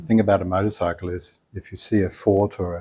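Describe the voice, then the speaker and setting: On a very clean recording with a silent background, a man with an Australian accent speaks in a fairly low-pitched voice with monotone, flat intonation. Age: 60s. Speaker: retired architect, traveller. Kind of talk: interview answer. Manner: casual, relaxed.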